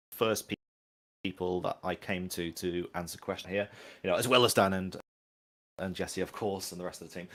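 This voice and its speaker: A man speaks very fast with a strong Manchester accent, his pitch fairly low. The recording is very clean, with a silent background. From northern England, Manchester. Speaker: game industry professional. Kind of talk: community livestream chat. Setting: livestream.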